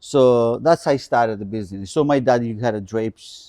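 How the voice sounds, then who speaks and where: A man with a Greek accent talks at a fairly quick pace with a dark, mellow tone and ordinary pitch variation, in a dry, close sound with no echo and a quiet background. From Greece (island of Kalymnos). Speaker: custom furniture maker. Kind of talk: interview. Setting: in-person in a furniture showroom.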